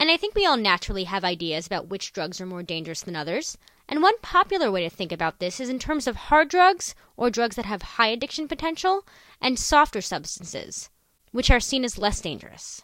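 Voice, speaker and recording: The woman's fairly high voice moves through very wide pitch swings. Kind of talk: educational lecture narration.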